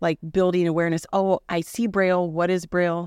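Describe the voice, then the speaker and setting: A woman speaks in a fairly low voice with a Midwestern American accent. The recording is very clean, with a silent background and a dry, close sound with no echo. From Iowa (Indianola). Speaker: artist and mentor. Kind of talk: interview.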